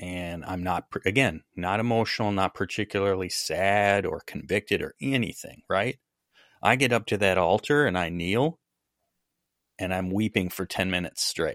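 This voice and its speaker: A man with an Upper Midwest accent talks at a moderate pace and fairly low pitch, with ordinary pitch variation. The recording is very clean with a silent background and a dry, close sound with no echo. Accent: Upper Midwest American. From US Midwest. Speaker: podcast host. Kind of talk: casual interview conversation.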